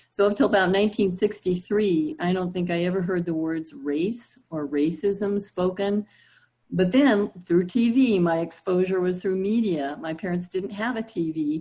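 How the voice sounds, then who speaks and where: Here a woman talks at a moderate pace and medium pitch. Her tone is dark and mellow, with ordinary pitch variation. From Southern California. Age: 60s. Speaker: university faculty and facilitator. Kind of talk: personal storytelling in group discussion.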